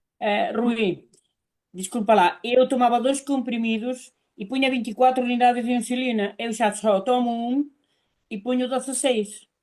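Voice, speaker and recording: With a Galician accent, a woman speaks at a high pitch and moderate pace with fairly even intonation. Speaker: testimony giver. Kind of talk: testimony.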